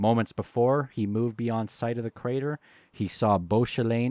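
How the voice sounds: The intonation is fairly even. The delivery is a natural reading voice.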